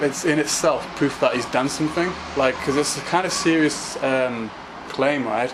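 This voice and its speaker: Over noticeable background noise, a man talks at a moderate pace in a fairly high pitch. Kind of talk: casual talk to camera. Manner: stammering, hesitant.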